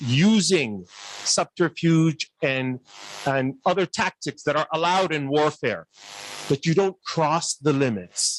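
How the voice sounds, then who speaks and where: Speaking at a very slow pace with a non-native accent, this voice has lively intonation and a dry, close sound with no echo. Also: man. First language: not Urdu. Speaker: academic panelist. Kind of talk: panel discussion remarks. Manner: animated, rhetorical questioning.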